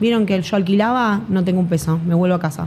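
A woman's somewhat breathy, medium-pitched voice with ordinary pitch variation and audible room echo. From Buenos Aires, Argentina. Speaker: affiliate marketer and entrepreneur. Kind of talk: interview. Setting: studio in Medellín.

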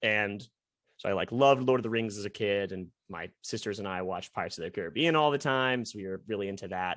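The very clean recording with a silent background carries a man's medium-pitched voice and ordinary pitch variation. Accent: Midwestern US. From US Midwest, Columbus, Ohio. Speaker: semi-pro ultimate frisbee player. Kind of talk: podcast interview. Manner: talkative.

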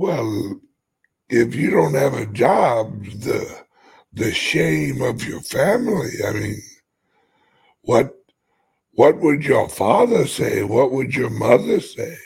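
A man puts on a raspy character voice at medium pitch, talking at a very slow pace with long, frequent pauses. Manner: scolding, disapproving.

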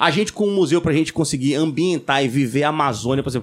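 A man talks at a very fast pace, his fairly high pitch varying in an ordinary way. The recording is very clean with a silent background. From Brazil, Pernambuco (Recife/Olinda). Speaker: podcast host. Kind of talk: casual chat.

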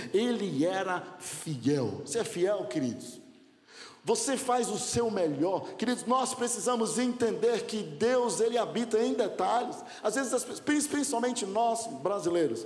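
Lively intonation carries fairly slow speech, heard with noticeable background noise and audible room echo. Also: man, high pitch for a man. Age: 40s. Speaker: pastor. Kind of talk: sermon.

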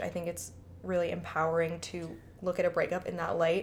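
A woman speaks with a slight Chicago accent. Her pace is moderate. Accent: Chicago accent, slight to moderate. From Chicago, US Midwest. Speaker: podcast co-host.

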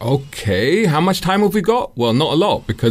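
Someone with a London accent talks at a fairly quick pace with lively intonation. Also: man. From London (Islington). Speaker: motoring journalist and YouTuber. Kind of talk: radio interview. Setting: radio studio.

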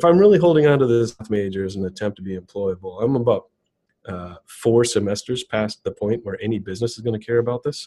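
A man with an American accent talks at a very fast pace in a medium pitch with ordinary pitch variation. His tone is dark and mellow, and his loudness swings widely. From US Midwest, southeast Wisconsin (Racine). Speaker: tech executive, developer relations director. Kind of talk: casual interview.

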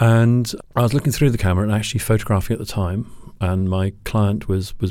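A man with a British accent talks at a very fast pace, his fairly low voice dark and mellow. His intonation is fairly even, and the recording is very clean with a silent background. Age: 50s. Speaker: photographer. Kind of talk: interview.

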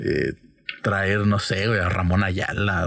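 Over noticeable background noise, a man speaks very slowly at a fairly low pitch. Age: 20s. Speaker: podcast host. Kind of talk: casual chat.

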